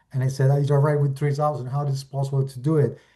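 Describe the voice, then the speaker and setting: A man's fairly high, somewhat breathy voice with a dark, mellow tone, in an Argentine accent. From Argentina. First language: Spanish. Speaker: real estate investor. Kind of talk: webinar presentation. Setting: video call. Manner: halting, with many fillers.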